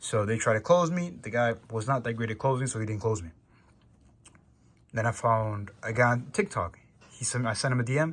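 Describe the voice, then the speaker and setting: Speaking at a fairly quick pace with long, frequent pauses, a man with an American accent has a medium pitch, ordinary pitch variation and a somewhat breathy sound. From New York. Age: young. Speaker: salesperson. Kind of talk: casual vlog monologue. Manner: casual.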